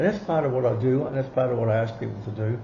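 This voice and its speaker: A man's voice with vocal fry carries audible room echo. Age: 70s. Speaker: occult teacher. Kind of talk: interview. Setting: at home.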